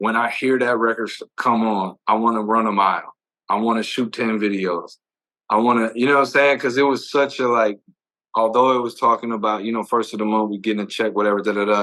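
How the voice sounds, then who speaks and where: With an American accent, a man talks at a fairly quick pace in a medium pitch, his tone bright and sharp. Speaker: music video director. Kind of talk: casual interview chat. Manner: fast; animated, repetitive stammering.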